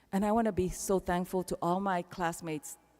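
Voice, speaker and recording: This woman's voice sits at a fairly low pitch. Its tone is dark and mellow. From Panama. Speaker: keynote speaker. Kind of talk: commencement speech. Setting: arena stage with audience.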